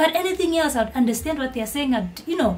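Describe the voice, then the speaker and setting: A woman's high pitch, with ordinary pitch variation, rises above noticeable background noise. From Eswatini. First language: Swati. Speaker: YouTuber. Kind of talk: vlog commentary. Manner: animated.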